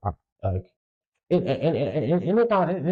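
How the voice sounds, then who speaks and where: The man's voice is dark and mellow, somewhat breathy. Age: 20s. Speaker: solo podcast host. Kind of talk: casual monologue. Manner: casual, halting with repetitions.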